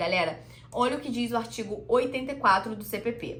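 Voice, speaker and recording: A woman speaks at a fairly high pitch. Noticeable background noise and audible room echo surround her voice. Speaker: law teacher. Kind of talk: lecture. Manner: fast.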